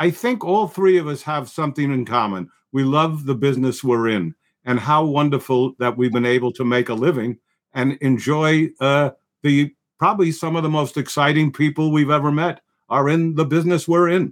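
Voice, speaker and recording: A man with a New York accent and a fairly high voice, at a moderate pace with ordinary pitch variation, on a very clean recording with a silent background. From New York, the Bronx. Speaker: film producer. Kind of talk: casual chat.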